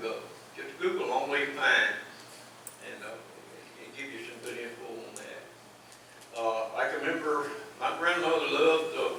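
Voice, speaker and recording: Against noticeable background noise, someone with an East Texas accent speaks at a moderate pace. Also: man. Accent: East Texas Southern US. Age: 80s+. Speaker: outdoorsman. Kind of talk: talk at a public meeting, reminiscing.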